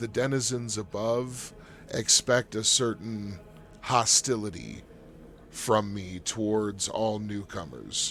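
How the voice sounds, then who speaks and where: A man puts on a wheezy character voice, fairly low in pitch with ordinary pitch variation. He speaks fairly slowly over clear background noise. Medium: actual play. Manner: humble, formal, measured.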